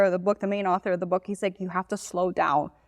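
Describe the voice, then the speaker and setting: A woman with a Miami accent, her sound dry and close with no echo. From Miami, Florida. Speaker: social media business owner. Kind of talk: podcast interview. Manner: fast.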